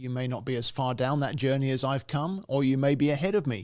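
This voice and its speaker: With a British accent, a man of medium pitch speaks at a moderate pace with fairly even intonation, recorded very cleanly against a silent background. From England. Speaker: communication coach, podcast host. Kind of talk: podcast monologue. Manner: reflective, with frequent fillers.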